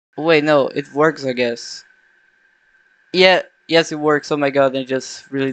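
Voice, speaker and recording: In a non-native accent, a man with a fairly high pitch speaks at a moderate pace with fairly even intonation and long, frequent pauses. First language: not English. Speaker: game developer vlogger. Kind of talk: unscripted coding vlog. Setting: at home at night. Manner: halting, self-correcting.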